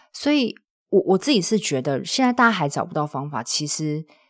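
Calm tone, very wide pitch swings and a fairly quick pace on a very clean recording with a silent background. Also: woman. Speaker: podcaster and side-business coach. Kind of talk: casual interview. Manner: calm, steadying delivery.

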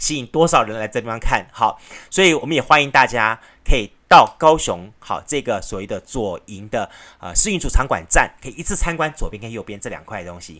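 The recording is very clean, and the background is silent. A plain, everyday voice talks fairly quickly with lively intonation. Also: man. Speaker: radio host. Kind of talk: solo radio talk. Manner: casual, chatty with frequent fillers.

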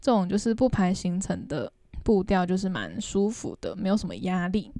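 A woman with a Taiwanese accent speaks at a moderate pace. Her tone is dark and mellow against a quiet background. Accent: Taiwanese Mandarin. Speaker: travel podcast co-host and travel blogger. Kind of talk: casual chat.

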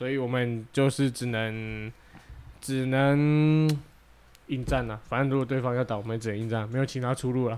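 Monotone, flat intonation at a moderate pace. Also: man, medium pitch for a man. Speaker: podcast co-host. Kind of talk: casual chat.

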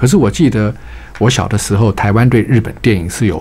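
Fairly low male voice, fairly quick pace, ordinary pitch variation, and noticeable background noise. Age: 60s. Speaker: retired bank executive, author. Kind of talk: radio interview. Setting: radio studio.

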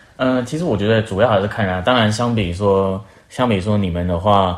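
This man talks at a fairly quick pace in a normal speaking voice. His pitch sits fairly low, with ordinary pitch variation. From Taiwan. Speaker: working holiday traveller. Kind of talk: casual chat.

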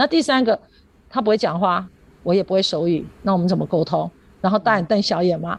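A woman's medium-pitched voice with vocal fry and ordinary pitch variation, at a fairly quick pace broken by long, frequent pauses. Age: 50s. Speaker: primary school teacher. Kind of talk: radio interview.

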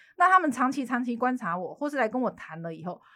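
Speaking at a fairly quick pace, a woman with a Taiwanese accent uses very wide pitch swings. Her fairly high voice has a bright, sharp tone, and the recording is very clean with a silent background. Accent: Taiwanese Mandarin with Taiwanese Hokkien. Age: 30s. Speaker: lawyer. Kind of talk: casual chat.

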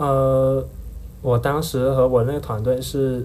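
The speech moves at a fairly slow pace. There is audible room echo. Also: man. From Heyuan, Guangdong, China. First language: Hakka (speaking Chinese). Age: 20s. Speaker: university student. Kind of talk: casual interview chat.

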